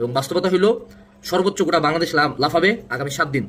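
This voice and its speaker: With a plain, everyday voice, a man speaks at a fairly high pitch with ordinary pitch variation. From Bangladesh, Dinajpur region. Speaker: admission coach. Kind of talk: motivational talk.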